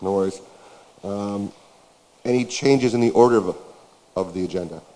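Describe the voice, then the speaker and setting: Fairly low in pitch and fairly quick in pace, a man with an Ontario accent speaks in a dark, mellow tone with ordinary pitch variation. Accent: Canadian (Ontario). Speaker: meeting chair. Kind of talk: formal meeting proceedings. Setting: boardroom meeting, live streamed. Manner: hesitant with fillers.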